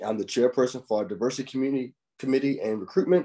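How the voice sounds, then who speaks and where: The voice has a dark, mellow tone and moves at a very fast pace. The background is quiet. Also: man. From Wilmington, North Carolina (US South). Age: 30s. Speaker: firefighter. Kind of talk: presentation to students. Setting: video call. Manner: frequent filler 'um'.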